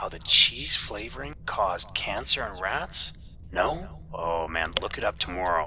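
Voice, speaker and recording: A man puts on a raspy character voice at a very deep, low pitch, moving at a fairly slow pace with hardly any pauses. Clear background noise can be heard. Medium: read story. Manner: casual, chatty, sarcastic.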